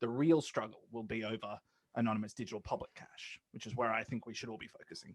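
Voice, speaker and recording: A man with an Australian accent talks at a very fast pace, his pitch medium. His loudness swings widely while his intonation stays fairly even. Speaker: law academic, money policy advocate. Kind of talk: podcast interview. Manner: hesitant, many fillers and repeats.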